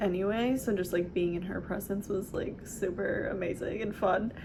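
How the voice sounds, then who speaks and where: With a Southern California accent, a woman speaks at a medium pitch. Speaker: hypnosis practitioner. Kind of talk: casual talk to camera.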